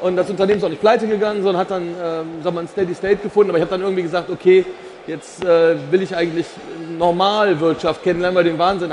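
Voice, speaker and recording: A man at a high pitch and very fast pace, fairly even in intonation, over noticeable background noise. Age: 50s. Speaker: insurance executive. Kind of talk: casual chat. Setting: stage at trade fair.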